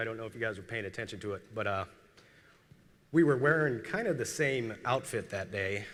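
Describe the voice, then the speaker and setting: A man speaks at a fairly quick pace with an American accent. His tone is bright and sharp. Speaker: military veteran speaker. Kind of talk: keynote speech. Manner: halting.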